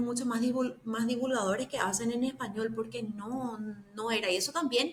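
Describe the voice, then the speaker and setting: Speaking at a very fast pace, a woman keeps a high pitch with fairly even intonation. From Paraguay. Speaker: bitcoin educator. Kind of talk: casual chat.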